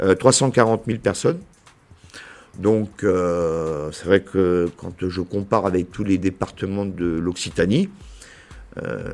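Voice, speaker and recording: A man with a very deep, low voice and a southern French accent, very slow, with long, frequent pauses, big swings in loudness, ordinary pitch variation, and music in the background. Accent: southern French accent, cultivated. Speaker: business association director. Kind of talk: podcast interview. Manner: hesitant, many fillers.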